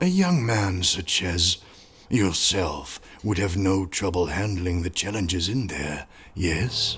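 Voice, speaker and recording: A man speaks in a cartoonish character voice, very deep and low-pitched, at a fairly slow pace. Clear background noise runs behind him. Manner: smooth, wheedling, formal.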